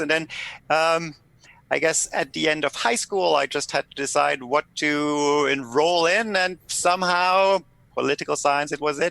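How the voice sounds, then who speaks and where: In a German accent, a man speaks with a fairly high pitch, ordinary pitch variation and a bright, sharp tone, in a dry, close sound with no echo on a very clean recording with a silent background. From Germany. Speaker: political scientist. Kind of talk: podcast interview.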